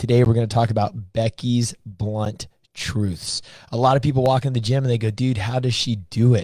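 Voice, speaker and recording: A man's medium-pitched, somewhat breathy voice with a dark, mellow tone, fairly even intonation and a moderate pace. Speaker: podcast host. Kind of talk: podcast interview.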